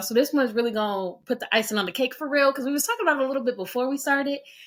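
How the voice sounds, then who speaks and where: Noticeable background noise sits behind a woman with an American accent. She talks at a very fast pace in a high pitch with ordinary pitch variation. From United States. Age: 20s. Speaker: podcast host. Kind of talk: casual podcast conversation. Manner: conversational, casual.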